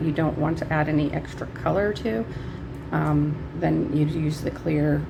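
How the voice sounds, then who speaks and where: Background noise is noticeable. A woman does the talking. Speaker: nail artist. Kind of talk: tutorial talk to camera.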